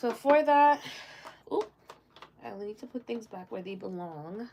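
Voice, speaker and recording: A woman speaks at a fairly high pitch, her voice swinging very widely up and down. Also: fairly slow pace. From Jamaica, moved to US before age seven. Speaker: beauty and lifestyle vlogger. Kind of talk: casual get-ready-with-me chat.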